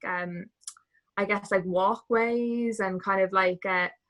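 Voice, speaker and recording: With a Dublin accent, a woman speaks at a very slow pace in a bright, sharp tone, her medium pitch held in a monotone, flat intonation. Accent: Irish, Dublin. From Ireland, Dublin. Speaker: travel community member, former cruise ship dancer. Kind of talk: casual interview chat.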